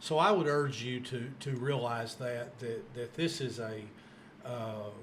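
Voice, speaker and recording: Ordinary pitch variation and a fairly slow pace come through audible room echo and noticeable background noise. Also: man, medium pitch for a man. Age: 60s. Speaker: podcast host. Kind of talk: interview.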